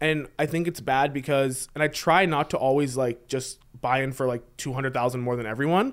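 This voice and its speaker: Speaking at a fairly quick pace, a man with a fairly high pitch uses a normal speaking voice on a very clean recording with a silent background. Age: 20s. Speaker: poker player and investment banker. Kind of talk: casual chat.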